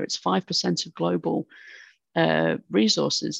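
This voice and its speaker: A woman with a British accent at a moderate pace, dry and close with no echo, over a quiet background. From United Kingdom. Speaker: university dean and climate policy expert. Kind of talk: interview conversation.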